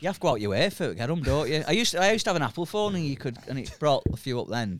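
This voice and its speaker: A man talks very fast at a fairly high pitch, his voice swinging very widely up and down. Vocal fry runs through his speech. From St Helens, Merseyside. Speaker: stand-up comedian. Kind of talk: casual chat.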